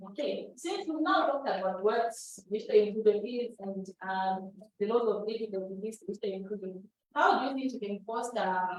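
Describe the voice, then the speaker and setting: An ordinary speaking voice from a woman, fairly high and fairly quick, with big swings in loudness. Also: ordinary pitch variation. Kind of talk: workshop presentation.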